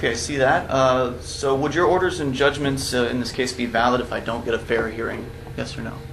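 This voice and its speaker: Over music in the background, the speech moves at a fairly quick pace with fairly even intonation. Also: man. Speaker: activist defendant. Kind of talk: courtroom testimony. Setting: courtroom. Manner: formal. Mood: pointed, challenging. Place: hall. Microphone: camera far.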